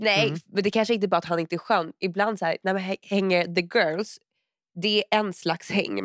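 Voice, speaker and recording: In a very clean recording with a silent background and a dry, close sound with no echo, a woman uses an ordinary speaking voice at a moderate pace with fairly even intonation. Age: 20s. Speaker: podcast co-host. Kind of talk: casual chat.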